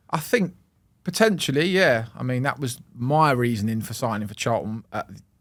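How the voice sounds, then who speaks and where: A man's medium-pitched voice in a London accent, with lively intonation at a moderate pace. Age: 20s. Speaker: professional football goalkeeper. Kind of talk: casual chat.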